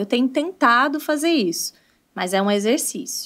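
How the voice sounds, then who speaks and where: Against a quiet background, a woman speaks in a high voice with very wide pitch swings. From Brazil, countryside. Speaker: English teacher and entrepreneur; English teacher. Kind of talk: casual interview. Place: studio. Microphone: studio mic.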